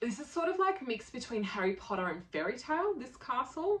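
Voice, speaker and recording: A woman with an Australian accent speaks at a moderate pace, her intonation lively. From Poland, moved to Australia as a child. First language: Polish. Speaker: travel vlogger. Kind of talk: casual travel talk to camera. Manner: animated, many fillers.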